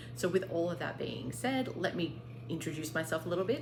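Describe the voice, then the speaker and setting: With an Australian accent, a woman speaks at a fairly quick pace amid audible room echo and noticeable background noise. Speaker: craft vlogger. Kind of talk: casual show-and-tell vlog.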